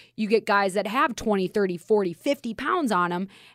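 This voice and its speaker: A woman with a Minnesotan accent, fairly high in pitch, at a fairly quick pace with lively intonation, in dry, close sound with no echo on a very clean recording with a silent background. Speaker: radio host. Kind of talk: casual chat. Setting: studio.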